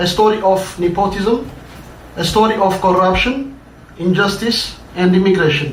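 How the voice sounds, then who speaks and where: A man with an Ethiopian accent at a high pitch, with audible room echo and noticeable background noise. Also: ordinary pitch variation, moderate pace. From Ethiopia, Addis Ababa. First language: Amharic. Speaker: writer. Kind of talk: reading aloud.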